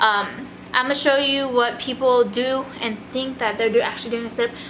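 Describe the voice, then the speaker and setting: A woman with a high-pitched voice and an American accent speaks over noticeable background noise, with audible echo in the room. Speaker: army NCO and vlogger. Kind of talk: casual tutorial vlog. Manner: fast; casual.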